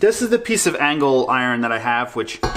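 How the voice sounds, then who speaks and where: Noticeable background noise sits behind the recording. A man talks at a medium pitch with ordinary pitch variation. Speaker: car DIY youtuber. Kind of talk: casual DIY tutorial narration. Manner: loud.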